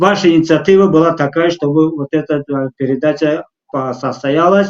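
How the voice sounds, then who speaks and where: A man with a non-native accent talks at a fairly slow pace with fairly even intonation, the sound dry and close with no echo. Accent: non-native Russian. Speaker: talk show host. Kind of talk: live talk show interview. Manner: halting, many fillers.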